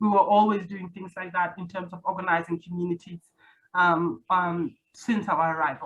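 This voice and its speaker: Somewhat breathy and fairly low-pitched, a woman talks at a moderate pace with fairly even intonation and big swings in loudness. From South Sudanese refugee camps, then Australia. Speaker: activist. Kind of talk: interview conversation.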